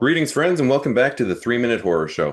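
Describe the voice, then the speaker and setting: This raspy, put-on character voice races at a very fast pace with very wide pitch swings and very even loudness. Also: man. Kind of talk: radio host voice. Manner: welcoming, hosting.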